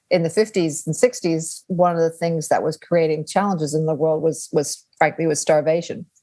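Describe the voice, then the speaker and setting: A woman speaks at a moderate pace. Her voice is fairly low, with a dark, mellow tone. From Australia, Canada, Nigeria and English boarding schools. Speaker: strategist and author. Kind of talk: interview.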